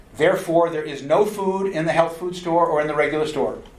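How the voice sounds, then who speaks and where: A man's fairly high voice at a fairly quick pace, with ordinary pitch variation and audible room echo. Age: 60s. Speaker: nutrition lecturer. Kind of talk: lecture.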